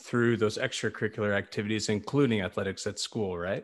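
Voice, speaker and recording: This man has a normal speaking voice, fairly low in pitch with fairly even intonation. The background is quiet. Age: 30s. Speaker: podcast host, entrepreneur. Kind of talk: interview.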